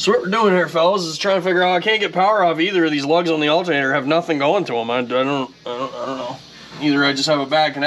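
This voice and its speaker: Light background noise sits beneath a man talking at a very fast pace. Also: ordinary pitch variation. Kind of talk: casual shop talk. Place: garage.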